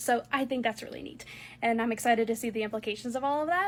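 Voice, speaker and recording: A woman speaks in an enthusiastic tone with a high pitch. The recording is very clean, with a silent background. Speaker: wand collector video creator. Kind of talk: casual vlog monologue. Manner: halting, many fillers.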